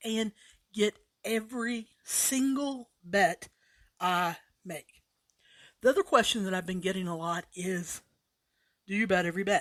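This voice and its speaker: A woman's animated voice at a fairly slow pace with very wide pitch swings, in a dry, close sound with no echo. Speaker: sports betting podcast host. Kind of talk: casual podcast monologue.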